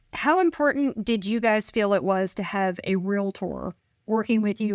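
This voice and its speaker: With an American accent, a woman speaks at a moderate pace in a fairly high pitch with ordinary pitch variation and an ordinary speaking voice, captured as a dry, close sound with no echo on a very clean recording with a silent background. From northern US. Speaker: realtor. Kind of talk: casual interview.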